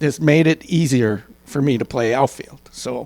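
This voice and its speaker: A man speaks in an ordinary speaking voice at a fairly slow pace. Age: 50s. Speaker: senior softball player. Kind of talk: interview. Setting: at an event with audience.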